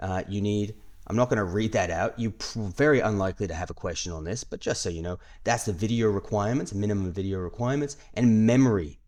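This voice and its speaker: Against a quiet background, a man with a fairly low pitch and ordinary pitch variation talks at a very fast pace. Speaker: IT certification course instructor. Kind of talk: tutorial. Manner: casual, with fillers.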